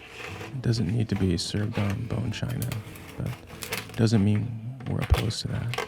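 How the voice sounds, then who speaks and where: Over music in the background, a man speaks at a fairly slow pace in a calm, soothing tone. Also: fairly low pitch for a man, fairly even intonation. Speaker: home cook. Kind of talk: cooking video narration. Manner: relaxed, reflective.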